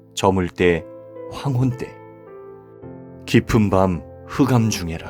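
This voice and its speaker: Over background music, a man with a fairly low voice talks at a very slow pace. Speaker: pastor and voice actor. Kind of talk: scripture reading.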